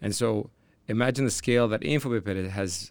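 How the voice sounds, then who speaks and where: Recorded very cleanly against a silent background, a man with a Canadian accent and a normal speaking voice talks at a moderate pace, his fairly low pitch showing ordinary variation. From Canada, Toronto. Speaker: tech entrepreneur. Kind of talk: interview.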